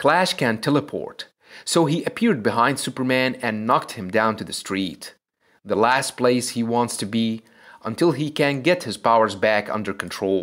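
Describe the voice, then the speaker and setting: At a moderate pace and with ordinary pitch variation, the speaker talks with a non-native accent on a very clean recording with a silent background. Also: man, medium pitch for a man. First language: not English. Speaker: comic book video narrator. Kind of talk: scripted narration.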